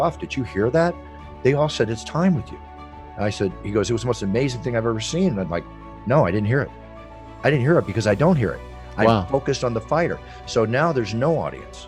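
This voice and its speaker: Over music in the background, a man talks at a very fast pace with very wide pitch swings and long, frequent pauses. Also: medium pitch for a man. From United States. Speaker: ring announcer. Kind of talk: interview answer.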